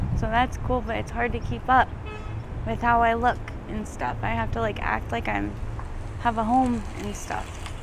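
Against noticeable background noise, a woman talks at a moderate pace, and the sound is dry with no echo. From Arizona. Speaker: homeless former drug addict. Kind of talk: street interview. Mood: emotional, near tears. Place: street.

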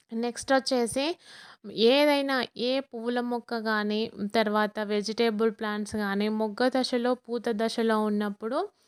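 A woman speaks in a plain, everyday voice at a fairly high pitch with fairly even intonation. The sound is dry and close with no echo, on a very clean recording with a silent background. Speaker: gardening vlogger. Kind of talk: video tour and tips. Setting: outdoors on terrace garden.

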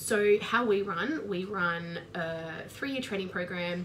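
A woman's fairly low-pitched voice at a very slow pace, with ordinary pitch variation and light background noise. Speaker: trainer. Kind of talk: expert talk to camera. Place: office. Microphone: webcam.

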